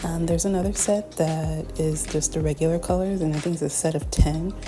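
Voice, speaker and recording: Music is heard in the background while a woman speaks. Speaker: artist reviewing art supplies. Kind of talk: casual talk to camera. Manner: hesitant, many filler words.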